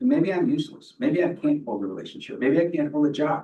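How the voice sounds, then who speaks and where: Very wide pitch swings and vocal fry from a man with a fairly high pitch. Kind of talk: public meeting discussion. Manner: animated.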